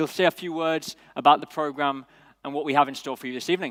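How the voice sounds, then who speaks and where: Using a British accent, a man speaks in a fairly high, bright, sharp voice with fairly even intonation, recorded very cleanly against a silent background with a dry, close sound and no echo. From United Kingdom. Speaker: event host. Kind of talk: event hosting speech. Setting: stage with audience.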